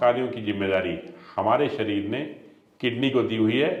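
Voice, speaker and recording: A man is speaking. The room echo is audible. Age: 60s. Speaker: ayurvedic doctor. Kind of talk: health interview explanation.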